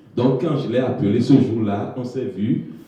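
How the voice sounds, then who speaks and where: The man's voice sits at a medium pitch with ordinary pitch variation. Audible room echo surrounds it. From Togo. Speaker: newcomer immigrant. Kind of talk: testimony.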